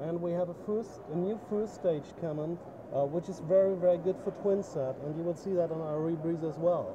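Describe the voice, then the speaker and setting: A man speaks at a fairly quick pace with a high pitch and fairly even intonation. Noticeable background noise runs under the recording. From Germany. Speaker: dive equipment company owner. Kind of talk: trade show interview. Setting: trade show booth.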